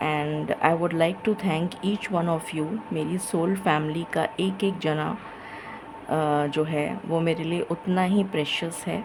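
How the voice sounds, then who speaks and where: Quiet and fairly low-pitched, a woman talks at a fairly slow pace with ordinary pitch variation against noticeable background noise. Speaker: tarot reader. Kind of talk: tarot reading monologue.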